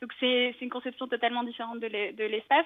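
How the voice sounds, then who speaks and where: A woman's high pitch in a monotone, flat intonation at a very fast pace. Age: 20s. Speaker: architect and climate activist. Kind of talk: interview. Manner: halting.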